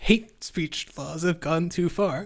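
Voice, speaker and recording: A woman speaks quietly. Her pitch rises and falls in an ordinary way. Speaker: political commentary streamer. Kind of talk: reaction commentary. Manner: quiet, hushed.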